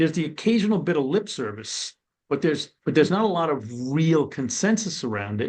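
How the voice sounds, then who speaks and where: A man with an American accent in a normal speaking voice, fairly high in pitch, with lively intonation and a moderate pace, over a quiet background. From New York City (Brooklyn). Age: 60s. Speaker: former corrections and probation official. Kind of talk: webinar panel discussion.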